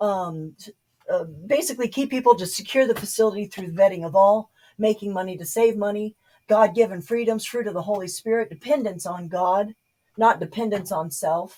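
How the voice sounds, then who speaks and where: Speaking at a moderate pace with an American accent, a woman with a medium-pitched, somewhat breathy, dark and mellow voice shows ordinary pitch variation and big swings in loudness. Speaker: political video blogger. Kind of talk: informal presentation monologue. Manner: halting, many fillers.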